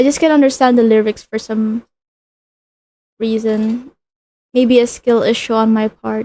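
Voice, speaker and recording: A fairly high-pitched woman in a non-native accent, dark and mellow in tone, flat and monotone, fairly slow with long, frequent pauses, the sound dry and close with no echo. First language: not English. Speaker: streamer. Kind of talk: casual chat. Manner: halting.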